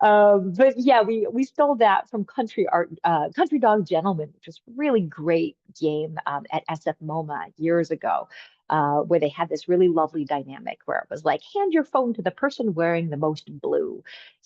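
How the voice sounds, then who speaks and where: The speaker has a Boston accent and talks at a moderate pace. The pitch swings very widely, and the loudness rises and falls a lot. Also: woman, medium pitch for a woman. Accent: Boston American English. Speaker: game designer. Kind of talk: online presentation.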